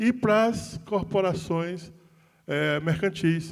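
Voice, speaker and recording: The man's voice has a high pitch. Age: 60s. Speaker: union leader, panel moderator. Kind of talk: panel moderation. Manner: halting, many repetitions.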